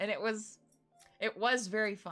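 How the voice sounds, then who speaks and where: Fairly quick speech from a woman over music in the background. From New England, USA.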